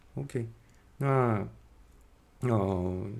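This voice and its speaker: A man's ordinary pitch variation unfolds at a very slow pace. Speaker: podcast host. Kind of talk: casual interview. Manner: halting, many fillers.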